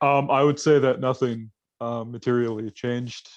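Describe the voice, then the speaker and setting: With a normal speaking voice at a medium pitch, a man talks at a moderate pace with fairly even intonation over a quiet background. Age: 20s. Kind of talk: casual chat.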